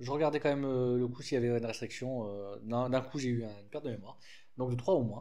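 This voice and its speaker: With audible room echo, a man speaks at a medium pitch in a dark, mellow tone. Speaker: card game youtuber. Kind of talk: deck presentation tutorial. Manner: casual with frequent hesitations.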